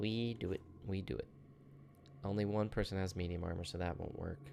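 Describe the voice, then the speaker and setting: A man mumbles his words. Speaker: gaming video creator. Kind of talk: gameplay commentary. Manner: mumbling; animated.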